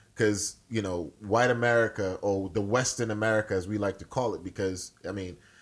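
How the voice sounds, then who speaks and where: A man with a Nigerian accent talks at a fairly quick pace with hardly any pauses. His pitch is fairly low and his intonation fairly even. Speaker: podcast co-host. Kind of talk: casual chat.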